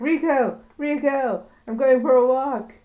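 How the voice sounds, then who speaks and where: A put-on character voice, high in pitch, unfolds at a fairly slow pace. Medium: solo performance.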